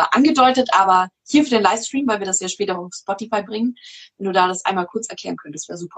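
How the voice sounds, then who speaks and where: A woman with a plain, everyday voice speaks fairly quickly at a medium pitch, using ordinary pitch variation. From Munich, Bavaria. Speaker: podcast host. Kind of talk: livestream interview. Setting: video livestream.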